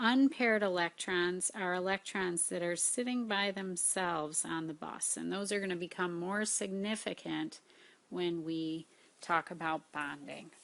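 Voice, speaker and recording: In a normal speaking voice, a woman talks at a fairly slow pace, her pitch fairly low with ordinary variation. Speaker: high school science teacher. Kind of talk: lecture.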